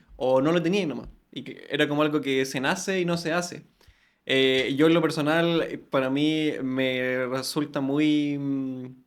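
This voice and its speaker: With a Chilean accent, a man speaks at a fairly slow pace and a fairly high pitch, his intonation fairly even, and audible room echo around him. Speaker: podcast host. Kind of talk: interview conversation.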